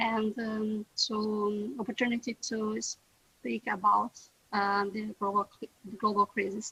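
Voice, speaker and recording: A woman speaks very slowly in a fairly high, bright and sharp voice, with a dry, close sound and no echo. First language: German. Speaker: round table panelist. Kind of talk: online panel discussion. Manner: halting, many fillers.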